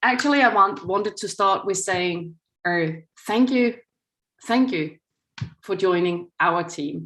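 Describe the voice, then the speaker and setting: Long, frequent pauses break up a woman's medium-pitched speech in a Danish accent. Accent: Danish, still quite noticeable. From Denmark. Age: 50s. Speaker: news executive. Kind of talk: lecture. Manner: reading from a script.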